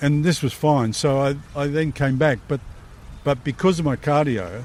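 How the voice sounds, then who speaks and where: A man with an Australian accent speaks at a moderate pace. His pitch is fairly high. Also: ordinary pitch variation. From South Australia, Leigh Creek. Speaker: war veteran. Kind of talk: interview, casual life story. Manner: halting, many repeated words.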